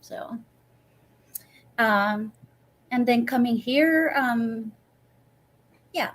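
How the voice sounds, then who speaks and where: Very slowly, a woman speaks with a high pitch. Her delivery has long, frequent pauses. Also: ordinary pitch variation. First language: Swedish. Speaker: professional violinist. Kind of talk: interview. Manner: halting, many repetitions.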